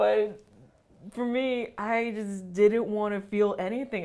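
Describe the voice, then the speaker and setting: A woman's voice against a quiet background. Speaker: student podcast co-host. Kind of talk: casual chat. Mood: earnest, personal. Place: meeting room. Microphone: lapel.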